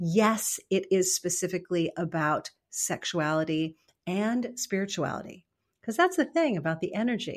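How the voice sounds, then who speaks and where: A woman with a medium pitch and ordinary pitch variation, a normal speaking voice, on a very clean recording with a silent background. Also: moderate pace. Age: 50s. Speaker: author and mentor. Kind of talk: interview.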